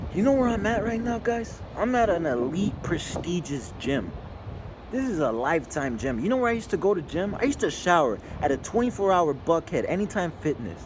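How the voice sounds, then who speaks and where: A man speaks at a fairly quick pace with a high pitch and very wide pitch swings. Background noise is noticeable, and room echo can be heard. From Mexico. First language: Spanish. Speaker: business owner vlogger. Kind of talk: casual vlog monologue. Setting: gym.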